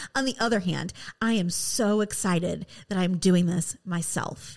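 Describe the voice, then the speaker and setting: A woman with a Midwestern American accent is heard on a very clean recording over a silent background. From West Michigan. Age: 30s. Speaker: podcast host. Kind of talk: personal monologue. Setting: studio.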